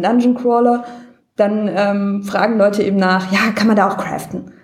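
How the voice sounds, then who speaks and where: Audible room echo surrounds the speech. The woman talks at a moderate pace. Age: 30s. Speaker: caller. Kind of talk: casual chat.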